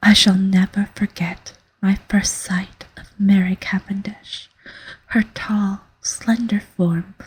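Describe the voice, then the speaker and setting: Soft-spoken and gentle in tone, the speaker goes at a very slow pace. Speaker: ASMR audiobook reader. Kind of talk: soft-spoken ASMR story reading. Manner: soft-spoken, gentle. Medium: read story.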